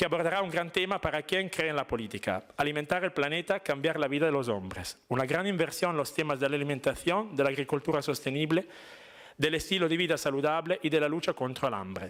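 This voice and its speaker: With an Italian accent, a man talks very fast in a fairly high pitch with vocal fry, ordinary pitch variation and very even loudness, on a very clean recording with a silent background. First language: Italian (speaking Spanish). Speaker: diplomat. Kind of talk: formal speech. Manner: formal.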